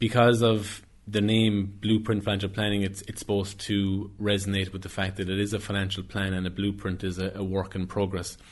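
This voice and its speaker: Talking at a fairly quick pace, a man with a West Cork accent keeps his intonation monotone and flat. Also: fairly low pitch for a man, hardly any pauses. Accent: West Cork Irish. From West Cork, Ireland (Skibbereen). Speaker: financial planner. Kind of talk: interview.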